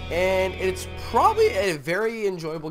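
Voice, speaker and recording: Very wide pitch swings run through the speech, with music in the background. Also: man. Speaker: gamer. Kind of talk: gameplay commentary. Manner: casual.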